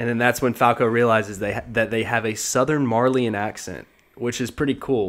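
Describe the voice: Fairly even intonation runs through the clip. It is plain reading aloud.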